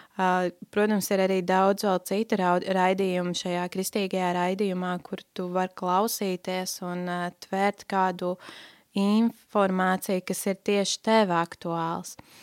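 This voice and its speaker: In a dry, close recording with no echo, very clean and with a silent background, a woman speaks at a medium pitch with monotone, flat intonation. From Latvia, Talsi area (Kurzeme). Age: 20s. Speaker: Bible school student. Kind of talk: personal testimony interview. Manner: hesitant, many fillers.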